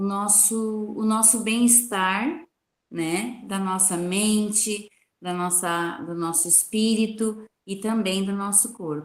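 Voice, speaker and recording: A woman with a medium pitch talks at a very slow pace, her pitch varying in an ordinary way. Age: 60s. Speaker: participant in spiritist gospel meeting. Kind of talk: testimony. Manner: halting.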